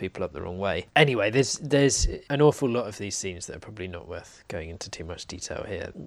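Very fast male speech with ordinary pitch variation, very cleanly recorded over a silent background. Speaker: podcast co-host. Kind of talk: casual literary discussion.

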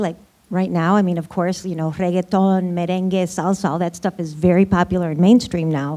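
With an American accent, a woman speaks at a fairly low pitch in a dark, mellow tone. The recording is very clean, the background silent. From US Midwest. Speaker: panelist. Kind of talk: panel discussion. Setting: stage with audience.

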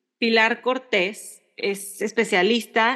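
A woman speaks with monotone, flat intonation. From Mexico. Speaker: podcast co-host. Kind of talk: casual chat.

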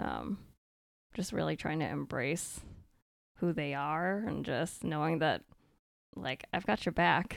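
A woman with an American accent speaks fairly slowly in a very deep, low voice, showing vocal fry and lively intonation and taking long, frequent pauses. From Maine, US (Vietnamese American family). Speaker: medical resident physician. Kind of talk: casual interview chat.

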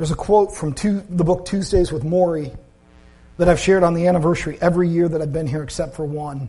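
Talking at a very fast pace, a man with a high pitch has a dark, mellow tone and fairly even intonation. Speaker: pastor. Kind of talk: sermon. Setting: church. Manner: monotone at times.

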